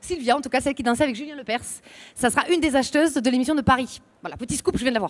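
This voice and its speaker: Someone speaks at a very fast pace in a southern French accent. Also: woman, high pitch for a woman, ordinary pitch variation. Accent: southern French accent, kept on purpose. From southern France. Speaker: radio and TV presenter contestant. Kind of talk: competition chronicle and jury Q&A.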